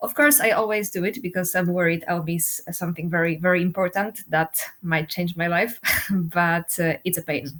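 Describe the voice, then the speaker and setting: The woman's pace is moderate. She talks with a non-native accent. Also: fairly low pitch for a woman, ordinary pitch variation. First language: not English. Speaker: doctoral researcher. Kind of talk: panel interview.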